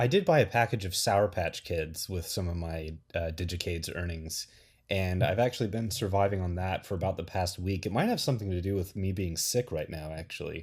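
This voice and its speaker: A man's very deep, low voice, somewhat breathy, with ordinary pitch variation and a fairly quick pace, on a very clean recording with a silent background. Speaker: podcast co-host. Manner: casual, joking.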